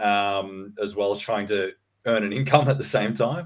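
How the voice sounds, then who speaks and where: The pace here is moderate. It comes in an Australian accent. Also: man. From Australia, Sydney suburbs. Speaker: real estate researcher. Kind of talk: interview. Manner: hesitant, many fillers.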